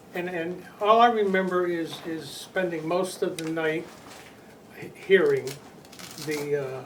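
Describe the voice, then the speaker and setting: Amid noticeable background noise and audible room echo, a man speaks fairly slowly at a high pitch with ordinary pitch variation, big swings in loudness, and long, frequent pauses. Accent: American. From Connecticut, New England. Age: 80s+. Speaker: flood eyewitness. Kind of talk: oral history interview. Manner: halting, many repetitions and fillers.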